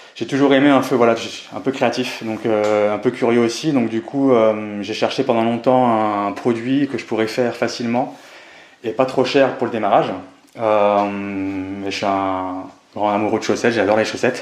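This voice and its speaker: A man's medium-pitched voice holds fairly even intonation and moves at a moderate pace. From Pau, Pyrénées-Atlantiques, southwest France. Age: 30s. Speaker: entrepreneur. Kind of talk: interview. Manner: hesitant, many fillers.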